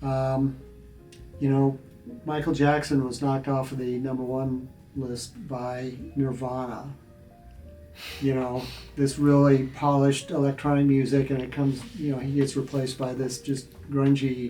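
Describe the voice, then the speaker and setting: A man of medium pitch speaks in a monotone, flat intonation at a moderate pace with an American accent, leaving long, frequent pauses while music plays in the background. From Nebraska, USA. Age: 70s. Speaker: musician and composition professor. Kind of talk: interview answer.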